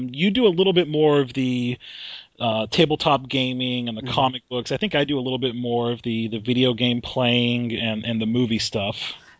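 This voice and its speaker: This man has an ordinary speaking voice with an American accent and a medium pitch. He talks at a fairly quick pace with ordinary pitch variation. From Vermont, US Northeast. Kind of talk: casual chat.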